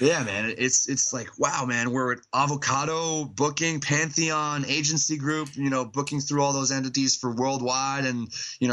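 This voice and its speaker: Against noticeable background noise, a man talks at a moderate pace in a medium pitch. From Montreal, Quebec. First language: French. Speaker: metal band vocalist. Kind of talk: casual interview chat. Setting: Skype call. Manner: hesitant, many fillers.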